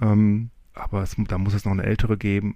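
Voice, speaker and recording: Recorded very cleanly against a silent background, a man with an unremarkable speaking voice talks at a moderate pace in a fairly low pitch. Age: 40s. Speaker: podcaster, quiz contestant. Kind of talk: recorded game-show answers.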